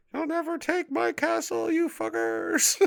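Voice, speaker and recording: A man's put-on character voice at a moderate pace. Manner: defiant, shouting.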